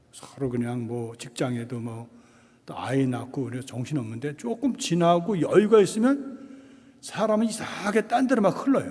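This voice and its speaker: This man speaks at a moderate pace in a high voice, his pitch swinging very widely and his loudness rising and falling a lot, with noticeable background noise and audible room echo. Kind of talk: lecture. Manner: casual, conversational.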